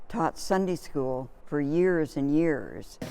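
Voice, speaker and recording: With a Canadian accent, a woman with a very deep, low pitch speaks at a very slow pace with fairly even intonation. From Lindsay, Ontario, Canada. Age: 80s+. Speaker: church member and former church secretary. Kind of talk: oral history interview.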